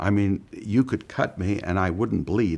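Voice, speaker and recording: On a very clean recording with a silent background, a man with an ordinary speaking voice talks at a fairly low pitch and a moderate pace, with ordinary pitch variation. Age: 60s. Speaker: bariatric surgery patient. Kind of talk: testimonial interview.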